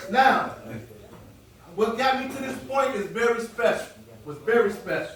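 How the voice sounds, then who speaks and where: Noticeable background noise sits behind a man talking at a moderate pace. His pitch is high, with ordinary variation. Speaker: motivational speaker. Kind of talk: motivational talk to a live audience. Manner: conversational, energetic.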